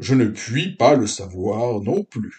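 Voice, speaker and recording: A put-on character voice at a very slow pace, with lively intonation. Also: man. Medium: read story. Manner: pedantic, self-important.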